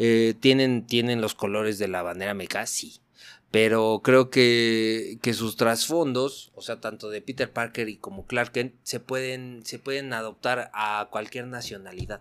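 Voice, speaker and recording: A man with a plain, everyday voice talks at a fairly slow pace and medium pitch, his intonation fairly even while his loudness swings widely. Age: 40s. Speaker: superhero figure collector. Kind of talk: casual chat.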